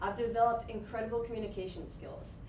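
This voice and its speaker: Over noticeable background noise, a woman with an American accent talks at a very fast pace. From upstate New York. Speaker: graduate student; presenter. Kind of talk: presentation. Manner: lively, laughing often. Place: classroom. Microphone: camera far.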